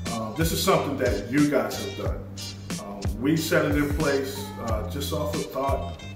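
A man talks in a room with audible echo. Clear music plays behind him. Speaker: construction channel host. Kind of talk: casual vlog chat. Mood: happy and grateful. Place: home room.

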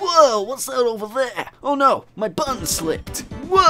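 A high-pitched, put-on character voice over faint background music. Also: moderate pace.

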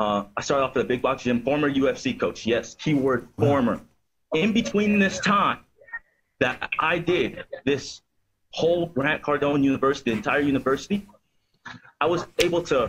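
With long, frequent pauses, a man speaks at a moderate pace with lively intonation over light background noise. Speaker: fitness coach calling in. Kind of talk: interview answer. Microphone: video call.

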